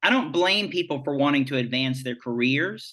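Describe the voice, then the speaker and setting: A bright, sharp tone against a quiet background. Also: man. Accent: Southern US. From rural Virginia (Farmville). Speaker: nonprofit association president. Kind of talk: interview discussion.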